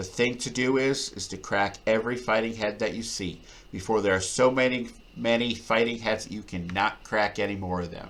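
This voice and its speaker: A man speaks in a plain, everyday voice at medium pitch and a fairly quick pace. His intonation is fairly even, with big swings in loudness. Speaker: audiobook reader. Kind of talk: reading aloud.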